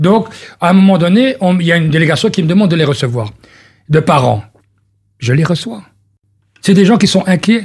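The speaker talks at a fairly quick pace with lively intonation and very even loudness. Long pauses come frequently. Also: man, high pitch for a man. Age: 50s. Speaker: politician. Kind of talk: radio interview.

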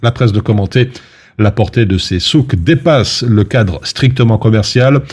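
This man's medium-pitched voice is somewhat breathy, moving at a moderate pace with ordinary pitch variation in a very clean recording over a silent background. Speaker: radio news presenter. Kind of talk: news reading. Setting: studio.

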